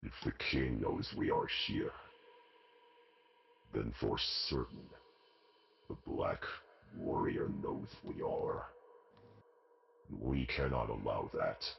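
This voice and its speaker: A man growls in a put-on character voice at a very slow pace, with long, frequent pauses. Music plays in the background. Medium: actual play. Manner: cold, clipped, imperious.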